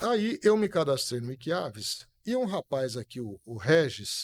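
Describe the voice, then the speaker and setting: The sound is dry and close, with no echo. A man speaks at a fairly high pitch with very wide pitch swings. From Brazil, Espírito Santo (Santa Teresa). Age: 60s. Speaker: musician and birdwatcher. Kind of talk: casual interview chat.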